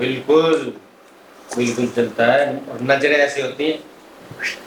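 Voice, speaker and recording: Noticeable background noise sits behind a man's voice. His pitch is fairly high and his intonation is monotone and flat. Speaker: radio jockey and podcast host. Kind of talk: comedic podcast banter.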